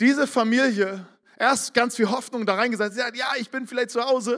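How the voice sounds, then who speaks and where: Talking at a fairly quick pace, a man sounds animated. His pitch is extremely high. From northern Germany, Barmstedt near Hamburg. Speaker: pastor. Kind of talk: sermon.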